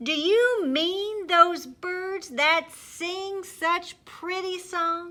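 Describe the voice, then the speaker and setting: A woman's loud, put-on character voice, extremely high-pitched, very slow, with hardly any pauses. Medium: read story. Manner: loud, cheerful, playful.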